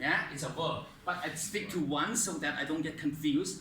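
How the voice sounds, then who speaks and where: A man with a non-native accent talks at a high pitch and a moderate pace, with lively intonation. Noticeable background noise and audible room echo surround him. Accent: foreign accent, non-native. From outside English-speaking world. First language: not English. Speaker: English teacher. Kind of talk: lesson. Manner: hesitant, many fillers.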